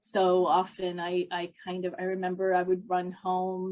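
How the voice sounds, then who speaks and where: A medium-pitched woman with a New Jersey accent. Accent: American (New Jersey). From South Jersey, US (moved from Bombay at seven). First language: Hindi. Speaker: psychologist / mental health professional. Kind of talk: interview, personal life story. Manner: halting, many fillers and restarts.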